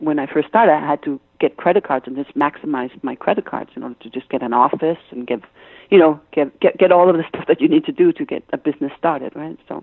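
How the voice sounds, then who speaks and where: A woman with a Danish accent talks at a very fast pace. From Denmark, Copenhagen. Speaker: business consultant and author. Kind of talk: interview. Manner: halting, many fillers.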